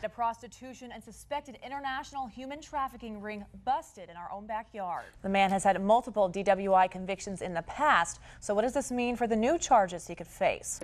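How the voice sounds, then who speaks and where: An ordinary speaking voice goes at a fairly quick pace with hardly any pauses, lively intonation and big swings in loudness. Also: woman, fairly high pitch for a woman. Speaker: television news anchor. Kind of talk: local TV news anchor delivery.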